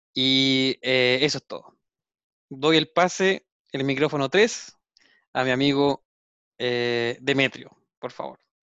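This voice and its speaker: A man's medium-pitched voice at a very slow pace, with fairly even intonation, long and frequent pauses, and big swings in loudness. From Chile. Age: 30s. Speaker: podcast co-host, engineer. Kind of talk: casual chat.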